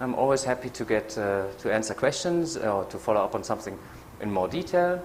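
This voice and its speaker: Amid audible room echo, a man with a German accent talks at a fairly quick pace, his pitch swinging very widely. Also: medium pitch for a man. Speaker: behavioral economist. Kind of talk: lecture. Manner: hesitant with many fillers. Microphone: echo from PA, volume adjusted.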